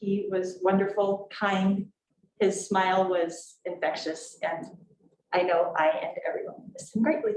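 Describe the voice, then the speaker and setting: Her intonation is fairly even. The woman keeps a fairly slow pace. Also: medium pitch for a woman. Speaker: school board chair. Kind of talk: public meeting. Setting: board meeting room with microphone, streamed on Zoom. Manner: projecting loudly.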